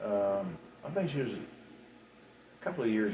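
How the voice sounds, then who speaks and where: A man speaks in a fairly low pitch with an American accent. His intonation is lively, with audible room echo. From West Virginia. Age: 60s. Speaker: storyteller recounting his life. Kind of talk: personal life story monologue. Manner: halting, many repeats and fillers.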